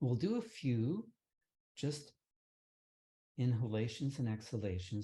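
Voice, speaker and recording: The voice has a calm tone and a dark, mellow quality, somewhat breathy. It moves at a fairly slow pace. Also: man. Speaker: meditation teacher. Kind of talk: guided meditation. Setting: online session. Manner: calm, lowered tone.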